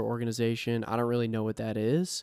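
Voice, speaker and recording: A man's voice comes through with a dry, close sound, no echo, and a very clean recording with a silent background. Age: 30s. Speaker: podcast co-host. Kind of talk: casual chat. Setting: home.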